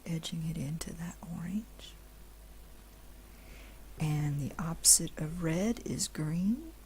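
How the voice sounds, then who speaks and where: The speaker is soft-spoken. The pace is very slow. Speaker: digital art instructor. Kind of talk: instructional screen-recorded tutorial narration. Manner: slow, soft-spoken, relaxing.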